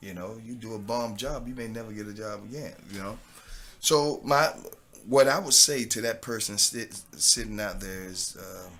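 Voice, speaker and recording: With a Southern US accent, a man talks at medium pitch in a bright, sharp tone, his volume swinging widely. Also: ordinary pitch variation, moderate pace. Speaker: actor and former pro football player. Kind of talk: podcast interview.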